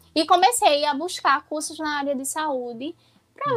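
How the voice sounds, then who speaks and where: A woman with a high pitch and lively intonation talks at a moderate pace in a dry, close sound with no echo. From Pernambuco, Brazil. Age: 20s. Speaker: physiotherapist. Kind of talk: podcast interview.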